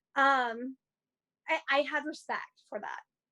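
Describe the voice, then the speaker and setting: The woman's voice is raised and projected. It carries a bright, sharp tone. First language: not English (learned English as third language). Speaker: actress. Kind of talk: interview. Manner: casual, filler-heavy (like, you know).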